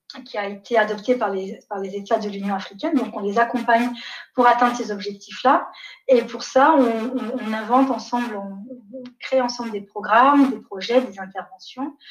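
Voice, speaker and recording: A woman speaks at a moderate pace, fairly high in pitch. Her loudness swings widely. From Niger, raised partly in Canada, France, Belgium. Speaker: development executive. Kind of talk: interview. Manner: hesitant, many fillers.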